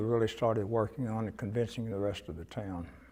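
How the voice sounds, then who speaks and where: A Texan accent with fairly even intonation over a quiet background. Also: man. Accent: Texan Southern American. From Cuero, Texas. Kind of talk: oral history interview answer.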